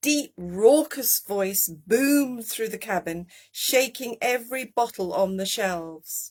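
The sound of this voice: An unforced reading voice with lively intonation against a quiet background.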